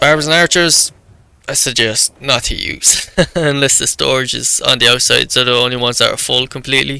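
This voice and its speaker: Speaking at a fairly quick pace, a man with a medium pitch and vocal fry keeps his intonation fairly even. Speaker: gaming YouTuber. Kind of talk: gameplay commentary. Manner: halting.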